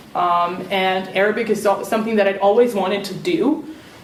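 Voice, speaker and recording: With noticeable background noise and audible room echo, a woman talks fairly quickly at a medium pitch. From Serbia. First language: Serbian. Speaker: alumni panelist. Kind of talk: panel talk.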